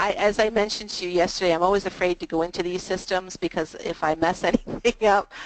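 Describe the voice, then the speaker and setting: With hardly any pauses, a woman talks at a very fast pace and medium pitch with fairly even intonation over noticeable background noise. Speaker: webinar facilitator for state program staff. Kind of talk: training webinar.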